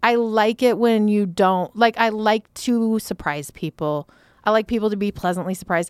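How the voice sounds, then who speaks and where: A woman with a fairly high pitch speaks at a moderate pace in a normal speaking voice, with ordinary pitch variation and a dry, close sound with no echo, on a very clean recording with a silent background. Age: 40s. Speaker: entrepreneur, company founder and CEO. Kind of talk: casual chat.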